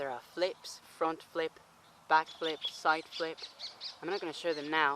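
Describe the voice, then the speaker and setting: The speech moves at a fairly slow pace with long, frequent pauses. Background noise is noticeable. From Chile. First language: Spanish. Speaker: acrobatics instructor. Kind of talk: tutorial. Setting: outdoors.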